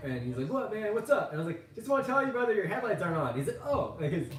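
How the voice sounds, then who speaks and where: Amid noticeable background noise and audible room echo, a man speaks with an American accent. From California, Central Coast. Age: 30s. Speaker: vlogger. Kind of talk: casual vlog monologue. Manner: animated.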